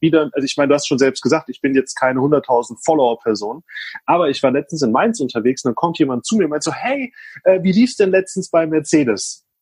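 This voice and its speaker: A somewhat breathy voice at a fairly quick pace, with a dry, close sound and no echo. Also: man. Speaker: social media consultant. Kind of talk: casual interview chat. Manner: fast, talkative.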